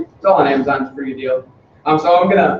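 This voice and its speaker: The speech runs at a very fast pace. Noticeable background noise is present. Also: man. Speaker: software developer giving a lightning talk. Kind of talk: meetup lightning talk. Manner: halting, many fillers.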